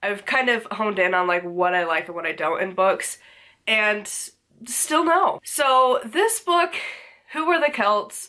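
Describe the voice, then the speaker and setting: With a bright, sharp tone, a woman talks at a fairly slow pace, her pitch swinging very widely. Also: fairly high pitch for a woman. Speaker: book reviewer. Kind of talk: casual book review monologue. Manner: low energy.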